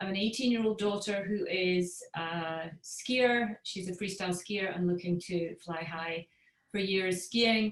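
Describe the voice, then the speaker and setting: A woman with a Scottish accent and ordinary pitch variation. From Scotland. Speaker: parent coach. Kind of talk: webinar talk.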